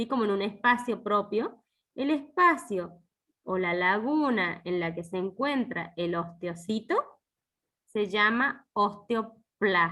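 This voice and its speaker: Speaking at a very slow pace, a woman with a medium pitch uses lively intonation and a bright, sharp tone. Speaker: university lecturer. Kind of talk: online lecture.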